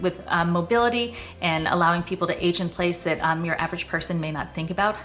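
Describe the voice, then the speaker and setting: A woman with an American accent speaks at a very fast pace and a medium pitch. Noticeable background noise is present. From Boston area, US Northeast. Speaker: real estate agent. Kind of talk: casual personal introduction to camera. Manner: conversational with frequent 'um' fillers.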